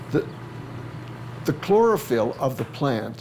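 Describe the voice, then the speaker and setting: A man talks over noticeable background noise. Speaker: plant scientist. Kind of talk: interview answer. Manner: hesitant, repeats words.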